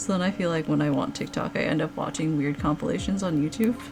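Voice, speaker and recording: A woman is speaking. Music plays behind her. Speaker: digital artist and streamer. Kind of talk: casual livestream chatting. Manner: casual, chatty.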